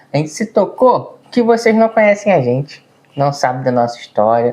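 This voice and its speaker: A man speaks at a moderate pace. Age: 30s. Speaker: vlogger. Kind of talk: casual chat. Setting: seated at home video. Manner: words run together.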